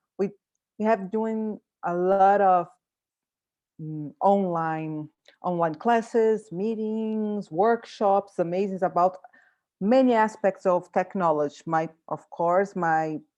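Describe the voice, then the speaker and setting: A woman with a dark, mellow tone and a non-native accent speaks at a very slow pace, leaving long, frequent pauses. Her pitch varies in an ordinary way, and the background is quiet. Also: medium pitch for a woman. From Brazil, São Paulo. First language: Portuguese. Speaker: cybersecurity analyst. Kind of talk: informal presentation.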